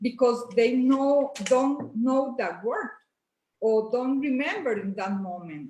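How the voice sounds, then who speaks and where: A high-pitched woman with lively intonation at a very slow pace. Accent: Spanish. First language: Spanish. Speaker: bilingual parent. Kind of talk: casual interview chat. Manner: halting.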